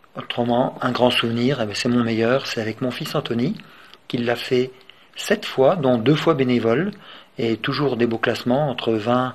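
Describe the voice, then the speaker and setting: This man speaks at a moderate pace, medium in pitch, with ordinary rise and fall. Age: 60s. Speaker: retired cook and veteran ultramarathon runner. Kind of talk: personal testimony. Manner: hesitant, many filler sounds.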